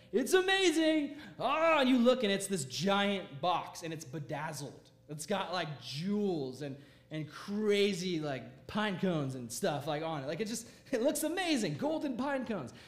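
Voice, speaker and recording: Amid audible room echo, a high-pitched man speaks in an animated tone at a moderate pace, his pitch swinging very widely. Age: 20s. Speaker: youth pastor. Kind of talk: sermon.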